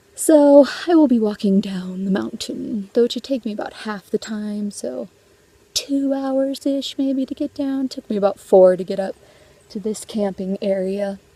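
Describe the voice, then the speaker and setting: A woman with a fairly high pitch and lively intonation at a fairly slow pace, dry and close with no echo, against noticeable background noise. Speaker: travel vlogger. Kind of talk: casual vlog narration while hiking. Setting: outdoors on a mountain trail.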